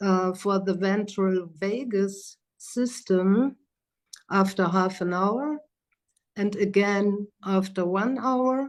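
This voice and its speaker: Against a quiet background, a woman with a German accent speaks at a very slow pace, her medium pitch showing ordinary variation. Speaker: psychotherapist and trainer. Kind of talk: lecture. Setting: video call. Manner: hesitant.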